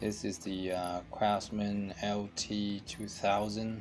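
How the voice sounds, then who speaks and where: Clear music plays in the background as a man with a fairly low pitch speaks in a monotone, flat intonation. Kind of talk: casual DIY commentary. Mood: mildly frustrated. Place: garage. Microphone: phone near.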